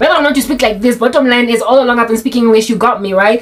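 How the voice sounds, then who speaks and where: Noticeable background noise under very rapid talk with fairly even intonation. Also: woman, high pitch for a woman. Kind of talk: casual, conversational.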